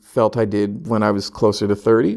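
In a West Coast accent, a man speaks at a medium pitch and moderate pace on a very clean recording with a silent background. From California (Sacramento). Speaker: hospital violence intervention manager. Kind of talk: casual interview chat. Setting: in person, Philadelphia.

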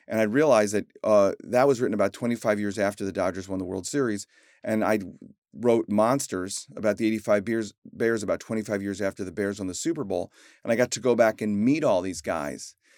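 A man with an American accent speaks in a plain, everyday voice at a fairly low pitch and a fairly quick pace. His pitch variation is ordinary, and the recording is very clean, with a silent background. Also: dry, close sound with no echo. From US Midwest, Chicago. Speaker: author. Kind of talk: interview.

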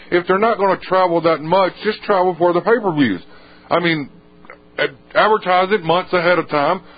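Pausing long and often, a man with an American accent talks at a moderate pace in a high pitch, keeping fairly even intonation and very even loudness. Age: 20s. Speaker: wrestling podcast co-host. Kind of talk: casual chat.

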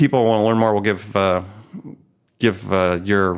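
With an American accent, a man speaks at a fairly low pitch with ordinary pitch variation. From US Midwest. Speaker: podcast host. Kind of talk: interview.

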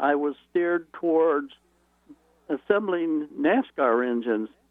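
Long, frequent pauses break up the speech, whose pitch varies in an ordinary way. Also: man. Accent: Midwestern American. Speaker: retired automotive engineer. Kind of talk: radio interview. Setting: phone call.

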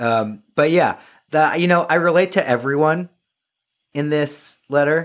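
In a very clean recording with a silent background, a man with an American accent speaks at a fairly slow pace and a fairly high pitch, with ordinary pitch variation and long, frequent pauses. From New York suburbs. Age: 30s. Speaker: writer and podcaster. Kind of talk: casual chat. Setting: studio.

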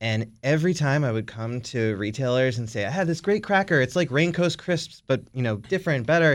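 With an American accent and a plain, everyday voice, a man talks at a fairly quick pace with lively intonation over a quiet background. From Maryland, Baltimore area. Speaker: bread business owner. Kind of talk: casual interview. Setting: studio.

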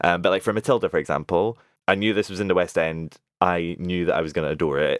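In a Scottish accent, a man talks at a very fast pace with a very deep, low pitch and ordinary pitch variation. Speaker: podcast co-host. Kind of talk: casual chat.

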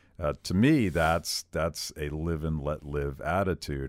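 The recording is very clean and the background silent. A man's very deep, low pitch carries vocal fry. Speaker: podcast host. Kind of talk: casual interview chat.

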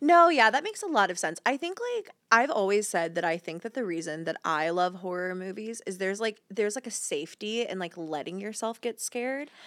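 A woman with an American accent and a medium-pitched voice speaks at a fairly quick pace with hardly any pauses and very wide pitch swings. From US South, rural Georgia. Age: 30s. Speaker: content creator. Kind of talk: casual chat.

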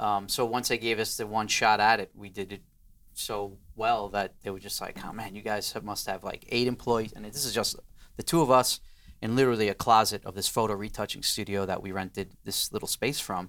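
Speaking at a fairly quick pace with an American accent, a man has an unremarkable speaking voice, a fairly low pitch, fairly even intonation, and big swings in loudness. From New York, Queens. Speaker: design studio co-founder. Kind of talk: interview.

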